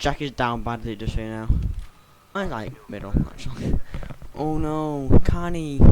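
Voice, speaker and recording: A man at a medium pitch with ordinary pitch variation, fairly slow in pace, with big swings in loudness and long, frequent pauses, over noticeable background noise. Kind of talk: casual gameplay commentary. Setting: bad microphone. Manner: stutters sometimes.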